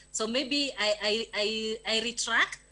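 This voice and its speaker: Music can be heard behind the speaker. Her pitch moves with ordinary variation, and she is a woman. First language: not English (English is third language). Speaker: development program officer. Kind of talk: meeting discussion. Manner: halting, many repetitions.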